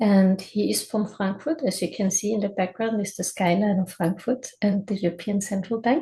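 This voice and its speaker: A woman's dark, mellow, somewhat breathy voice at a medium pitch, with ordinary pitch variation, a moderate pace and hardly any pauses. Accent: German. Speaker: webinar host. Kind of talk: webinar presentation. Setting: video call. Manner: hesitant, with fillers.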